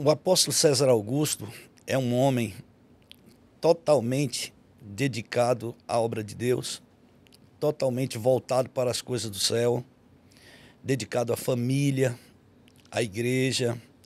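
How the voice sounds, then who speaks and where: A man with a medium pitch talks at a fairly slow pace and fairly even intonation. Long, frequent pauses break up his speech. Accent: Bahian. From Bahia, Brazil. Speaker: pastor. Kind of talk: testimony.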